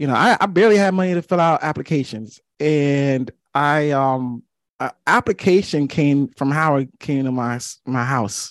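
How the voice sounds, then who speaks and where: The speaker has an unremarkable speaking voice with ordinary pitch variation at a moderate pace. The sound is dry and close with no echo, against a quiet background. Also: man, fairly high pitch for a man. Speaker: podcast host. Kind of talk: casual chat.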